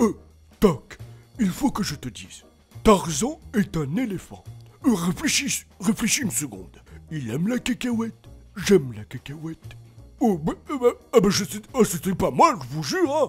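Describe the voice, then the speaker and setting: Putting on a character voice, a man speaks at a high pitch with very wide pitch swings, a moderate pace and long, frequent pauses, while faint music plays in the background. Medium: solo performance. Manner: rambling, hesitant.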